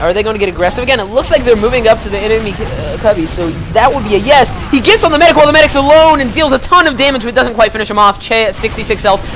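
Over music in the background, the speaker delivers an energetic tone with lively intonation at a very fast pace, with hardly any pauses. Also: woman, fairly high pitch for a woman. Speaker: esports shoutcaster. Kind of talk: live game commentary. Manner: energetic, fast-paced.

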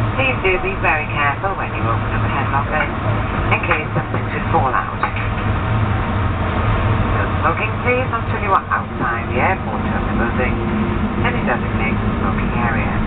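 Long, frequent pauses break up speech delivered at a moderate pace over loud background noise. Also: man. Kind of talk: scripted cabin announcement. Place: plane.

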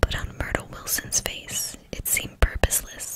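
Soft-spoken and whispering, the voice moves at a fairly slow pace over light background noise. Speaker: audiobook reader. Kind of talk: reading a novel aloud. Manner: soft whispered book reading.

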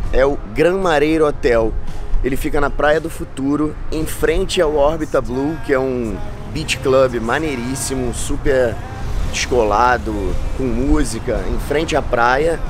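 Clear music plays behind a man whose pitch varies in an ordinary way. The sound is dry, with no echo. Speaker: travel vlogger host. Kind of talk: casual vlog chat. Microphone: phone near.

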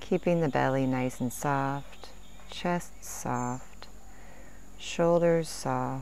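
A woman with a gentle, calm tone speaks very slowly with long, frequent pauses, in a dry sound with no echo and light background noise. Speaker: meditation and stretch teacher; stretch teacher. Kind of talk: guided meditation. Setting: outdoors in nature, Sri Lanka. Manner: slow, calm, soothing; gentle, measured pacing with counted breaths.

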